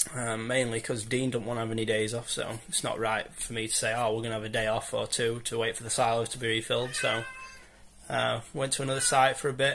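A man's fairly quick, monotone, flat speech with light background noise. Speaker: bricklayer vlogger. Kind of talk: casual vlog chat. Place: home room. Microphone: phone near.

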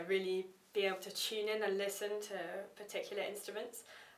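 In a room with audible echo, a woman talks at a fairly quick pace. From England. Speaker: history student and gamelan player; interviewee. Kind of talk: interview; interview answer. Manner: hesitant, many fillers. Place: meeting room.

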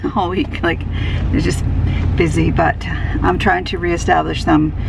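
A woman at a moderate pace, dry sound with no echo, noticeable background noise behind her. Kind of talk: casual vlog talk to camera. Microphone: phone near.

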